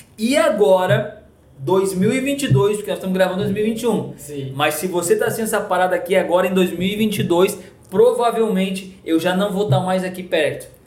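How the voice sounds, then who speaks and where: A man speaks at a moderate pace with a high pitch and ordinary pitch variation. Noticeable background noise and audible room echo are present. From Rio Grande do Sul, Brazil (coastal town). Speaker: pastor. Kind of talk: casual chat. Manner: animated.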